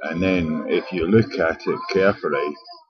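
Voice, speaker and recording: Through noticeable background noise, a man's speech comes at a moderate pace. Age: 60s. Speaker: homeless vlogger. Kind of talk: personal video diary. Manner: halting.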